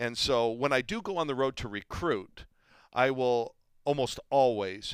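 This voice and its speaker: Over a very clean recording with a silent background, a man talks in an ordinary speaking voice at medium pitch with ordinary pitch variation. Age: 60s. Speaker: college basketball coach. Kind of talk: casual chat. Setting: studio.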